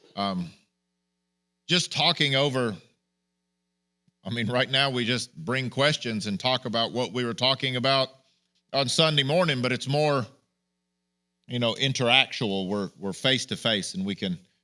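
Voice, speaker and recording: On a very clean recording with a silent background, a man speaks loud at a moderate pace and medium pitch, his tone bright, sharp and animated, with ordinary pitch variation and long, frequent pauses. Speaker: pastor. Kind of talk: sermon.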